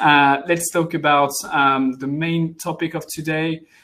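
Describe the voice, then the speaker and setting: A man speaks with a French accent in a bright, sharp tone. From France. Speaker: head of international development at software company. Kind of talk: webinar presentation. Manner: hesitant, many fillers.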